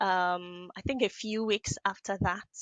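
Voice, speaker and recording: Against a quiet background, a woman with a Nigerian accent speaks at a medium pitch in a bright, sharp tone with fairly even intonation. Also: dry, close sound with no echo. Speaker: business analyst and trainer. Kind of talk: podcast interview. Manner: hesitant, many fillers.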